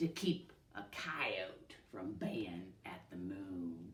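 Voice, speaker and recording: In a put-on character voice with a Western US accent, someone growls low, gruff words at a very slow pace. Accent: Western drawl. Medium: read story. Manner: growling, gruff.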